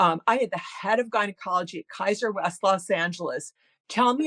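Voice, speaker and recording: A woman with an American accent and a medium pitch speaks in an animated tone, and the sound is dry and close with no echo. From US Midwest. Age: 60s. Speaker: author and columnist. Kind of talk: interview. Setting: podcast. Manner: fast, stumbling restarts.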